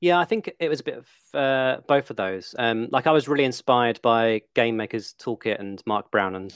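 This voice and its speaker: The speaker is a man with an English accent. His medium pitch shows ordinary variation. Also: moderate pace, hardly any pauses. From England. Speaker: game animator and video educator. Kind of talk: casual interview chat.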